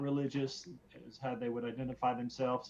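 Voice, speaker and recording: A man speaks at a medium pitch with a Southern US accent. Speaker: podcast guest, student of theology and ethics. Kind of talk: casual discussion. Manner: halting, many fillers and repeats.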